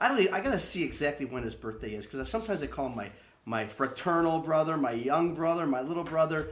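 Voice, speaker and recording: A very fast, animated man's voice, fairly high in pitch, over noticeable background noise. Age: 60s. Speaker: theater owner and online show host. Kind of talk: show introduction; casual chat.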